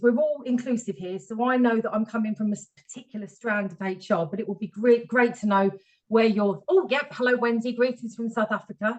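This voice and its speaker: Somewhat breathy and fairly high-pitched, a woman talks at a fairly quick pace with ordinary pitch variation. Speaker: HR professional, webinar speaker. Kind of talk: webinar presentation. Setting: video call webinar. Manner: fast.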